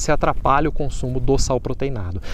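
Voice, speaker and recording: With lively intonation, a man talks at a very fast pace, the sound dry with no echo and light background noise behind him. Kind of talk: tutorial. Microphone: phone near.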